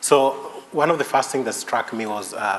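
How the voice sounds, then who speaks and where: A man's voice shows ordinary pitch variation, with audible room echo and noticeable background noise around it. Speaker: conference discussant. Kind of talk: academic conference talk. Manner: hesitant with many fillers; fast.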